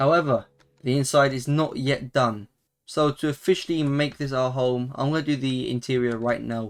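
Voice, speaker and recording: A man with a British accent, medium in pitch, his intonation fairly even. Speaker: gaming YouTuber. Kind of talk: gameplay commentary. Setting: at home while others sleep. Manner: quieter than usual; casual, hesitant with fillers.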